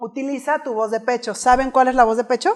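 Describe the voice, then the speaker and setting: An animated woman speaking at a moderate pace. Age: 30s. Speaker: public speaking coach. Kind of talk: keynote talk. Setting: stage with audience.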